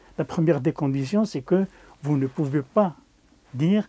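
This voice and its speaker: A man's dark, mellow tone with ordinary pitch variation, in a dry, close sound with no echo. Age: 80s+. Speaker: war veteran. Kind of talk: interview testimony. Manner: halting, repeating words.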